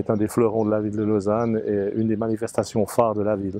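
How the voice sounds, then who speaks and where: A man speaks at a fairly quick pace in a fairly low voice, his intonation flat and monotone. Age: 60s. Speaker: sports event organizer. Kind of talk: interview.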